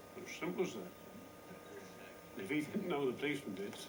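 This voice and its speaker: With a Norfolk accent, a man talks at a very fast pace in a fairly high voice, his pitch swinging very widely and his loudness in big swings, amid noticeable background noise. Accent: Norfolk rural. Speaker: village resident. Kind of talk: interview answer.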